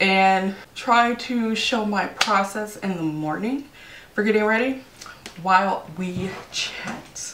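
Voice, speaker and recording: A woman at a fairly slow pace with ordinary pitch variation, in audible room echo and light background noise. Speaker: beauty vlogger. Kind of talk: casual vlog chat. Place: home room. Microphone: phone near.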